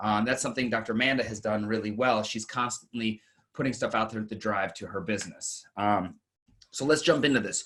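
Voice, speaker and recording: A man's medium-pitched voice at a fairly quick pace, with fairly even intonation and a quiet background. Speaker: marketing panelist. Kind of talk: webinar presentation. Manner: fast.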